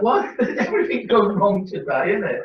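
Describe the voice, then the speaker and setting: A man with an English accent at a moderate pace. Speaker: model railway enthusiast showing his layout. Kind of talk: casual chat.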